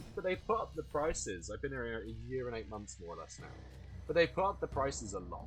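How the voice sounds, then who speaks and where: Over music in the background, a man talks at a fairly quick pace, his loudness swinging widely. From southeast England. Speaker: gaming streamer and pub general manager. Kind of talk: casual gameplay commentary. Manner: hesitant, many fillers.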